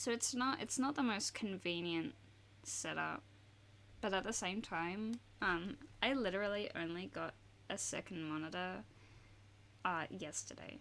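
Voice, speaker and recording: A soft-spoken woman with an Australian accent, medium pitch and lively intonation, at a fairly slow pace with long, frequent pauses. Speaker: art streamer. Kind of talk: casual chat while drawing on livestream. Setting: home desk livestream. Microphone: sensitive studio mic on desk picks up vibrations.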